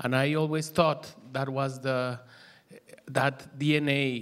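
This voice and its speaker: This is a man talking. He speaks with a Mexican accent. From Mexico, Mexico City. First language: Spanish. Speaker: musician and DJ. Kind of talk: panel presentation. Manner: halting, many fillers.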